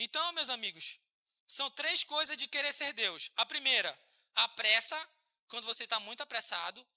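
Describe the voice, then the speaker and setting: An animated man with a bright, sharp tone, moderate pace and ordinary pitch variation, in a dry, close sound with no echo. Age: 30s. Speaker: pastor. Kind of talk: sermon. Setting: church.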